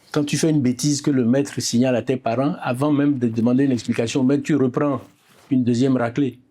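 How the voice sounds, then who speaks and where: A man's medium-pitched, dark, mellow voice at a fairly quick pace, monotone and flat, with very even loudness and long, frequent pauses. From Benin, Porto-Novo. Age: 70s. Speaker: architect and poet, author on Ifá. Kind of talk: interview.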